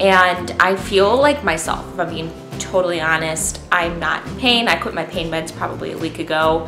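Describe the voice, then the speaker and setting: Clear music plays in the background. Over it, a woman talks at a moderate pace with ordinary pitch variation. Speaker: stay-at-home mom vlogger. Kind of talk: casual vlog chat. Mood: relaxed and cheerful. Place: home room. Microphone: camera far.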